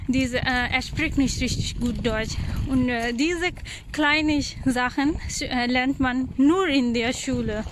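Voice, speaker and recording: A woman speaks at a very slow pace in a high voice with fairly even intonation. Noticeable background noise and audible room echo are present. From Pakistan. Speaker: vlogger, mother. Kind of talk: casual vlog narration. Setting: outdoors, walking with children. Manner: halting, frequent hesitations.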